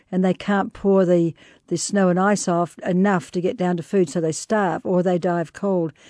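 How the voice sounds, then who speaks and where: A woman with a New Zealand accent speaks in a dark, mellow tone with fairly even intonation and very even loudness. The sound is dry and close with no echo, over a quiet background. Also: medium pitch for a woman, moderate pace. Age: 60s. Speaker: explorer and author. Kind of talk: interview.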